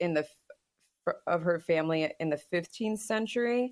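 Pitched fairly low, this woman has an unremarkable speaking voice with ordinary pitch variation. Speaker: podcast co-host and historian. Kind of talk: casual chat.

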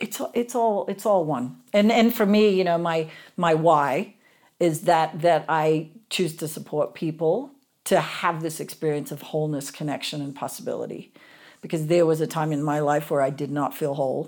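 On a very clean recording with a silent background, a woman speaks in an Australian accent. Her pitch is very deep and low, with ordinary variation, and her pace is moderate. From Australia, Sydney. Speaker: physiotherapist and coach. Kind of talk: podcast interview.

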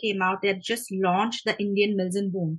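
A woman speaks with a bright, sharp tone. Her pace is moderate. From India, Mumbai. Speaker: author. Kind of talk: interview.

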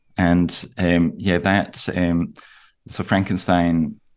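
With a Scottish accent, a man speaks at a very deep, low pitch. His intonation is monotone and flat against a quiet background. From Aberdeen, northeast Scotland. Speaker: novelist. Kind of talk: interview. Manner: halting, many fillers.

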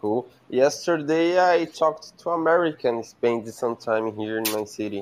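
Against a quiet background, a man with a Brazilian Portuguese accent speaks fairly slowly with lively intonation. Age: 20s. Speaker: caller on live show. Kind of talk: casual chat. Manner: halting.

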